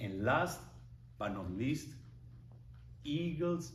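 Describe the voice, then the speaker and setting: A man with vocal fry and a strong non-native accent, his pitch swinging very widely, amid audible room echo. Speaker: public speaking club member. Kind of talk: prepared speech.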